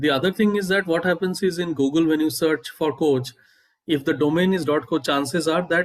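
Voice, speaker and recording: A man with an Indian accent speaks in a fairly high voice. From India, Bengal. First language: Bengali. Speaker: startup founder. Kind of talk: interview. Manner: halting, many fillers.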